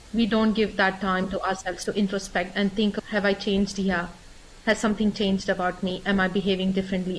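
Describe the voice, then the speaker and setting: Her voice somewhat breathy and medium in pitch, a woman speaks with monotone, flat intonation. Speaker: transformational coach and company director. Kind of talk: podcast interview.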